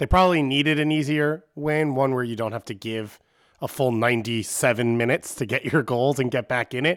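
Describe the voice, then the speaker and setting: A man with an American accent speaks in a normal speaking voice at a fairly quick pace. His ordinary pitch variation comes through on a very clean recording with a silent background. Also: medium pitch for a man. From Long Island, New York. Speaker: soccer podcast guest panelist. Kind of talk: casual banter about soccer.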